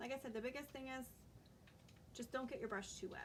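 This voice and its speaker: A woman speaks in a soft-spoken way. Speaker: crafter. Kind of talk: live-stream tutorial. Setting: live stream. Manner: casual.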